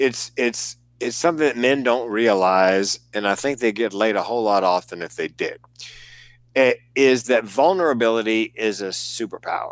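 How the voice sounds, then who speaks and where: A man with a Southern US accent speaks at medium pitch and a moderate pace with ordinary pitch variation. The recording is very clean, with a silent background. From US South. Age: 60s. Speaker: comedian and suicide prevention speaker. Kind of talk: casual chat. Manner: animated.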